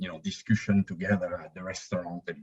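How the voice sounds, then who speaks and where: A somewhat breathy man with a European accent. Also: dry, close sound with no echo. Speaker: spiritual YouTube channel co-founder. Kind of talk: podcast interview. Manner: halting.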